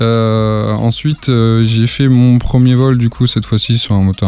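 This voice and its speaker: The man here has a medium-pitched voice. Noticeable background noise can be heard behind him. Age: 20s. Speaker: flight instructor. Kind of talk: podcast interview.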